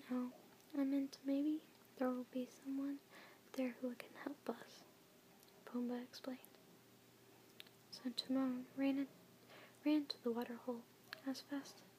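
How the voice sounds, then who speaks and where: Whispering and soft-spoken, a woman talks at a fairly slow pace over noticeable background noise. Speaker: ASMR content creator. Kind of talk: ASMR children's book reading. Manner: soft-spoken, whispering.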